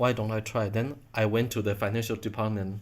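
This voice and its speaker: With a Chinese accent, this man talks at a moderate pace. His fairly low pitch stays in a monotone, flat intonation. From Taiwan. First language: Mandarin Chinese. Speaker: Buddhist monk and translator. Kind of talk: interview. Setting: at home. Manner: halting.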